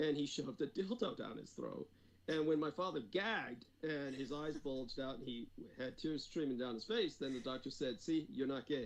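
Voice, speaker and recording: This man has an ordinary speaking voice, fairly high in pitch. He speaks at a moderate pace with lively intonation. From United States (born in Taiwan, moved at three). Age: 50s. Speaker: former defense department employee, occult researcher. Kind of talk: interview.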